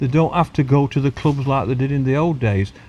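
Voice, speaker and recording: The man's medium-pitched voice is somewhat breathy, with ordinary pitch variation. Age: 60s. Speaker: champion match angler. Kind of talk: casual interview. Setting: outdoors on a lake bank.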